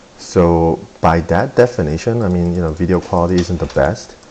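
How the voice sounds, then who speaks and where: Noticeable background noise beneath a very deep, low male voice. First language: not English (English is third language). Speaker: golf swing video creator. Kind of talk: video tutorial / swing analysis. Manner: casual, many filler words.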